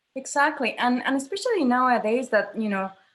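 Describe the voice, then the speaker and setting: Somewhat breathy female voice in a Spanish accent at a moderate pace. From Mexico. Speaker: theatre director. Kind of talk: interview conversation.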